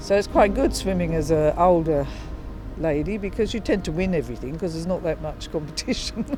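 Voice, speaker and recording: A woman talks very fast. Behind her, music can be heard. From England, North London. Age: 70s. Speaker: retired registered nurse. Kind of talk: interview answer. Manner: casual, hesitant.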